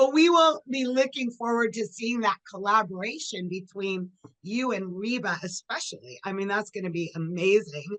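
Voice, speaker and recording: A woman with a plain, everyday voice speaks at a moderate pace and medium pitch, with lively intonation and hardly any pauses. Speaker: entertainment interviewer. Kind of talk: interview host questions. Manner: upbeat.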